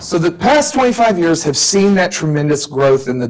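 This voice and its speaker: Lively intonation marks a man's speech, delivered at a moderate pace. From US South. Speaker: professor. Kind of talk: lecture. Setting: stage with audience.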